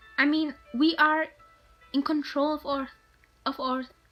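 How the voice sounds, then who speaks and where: Music in the background behind a woman's fairly slow speech. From Germany. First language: German. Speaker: vlogger. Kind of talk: casual advice vlog. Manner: halting, with fillers.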